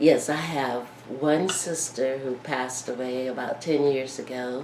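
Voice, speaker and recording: A woman's very deep, low voice in a Southern US accent, very slow with fairly even intonation, amid noticeable background noise and audible room echo. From Miami, Florida. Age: 70s. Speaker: war veteran. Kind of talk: oral history interview. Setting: at her home.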